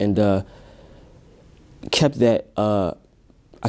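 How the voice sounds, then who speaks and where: A quiet, fairly low male voice with a dark, mellow tone, at a fairly slow pace. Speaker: music producer and rapper. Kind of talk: interview. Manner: quiet, introverted; halting.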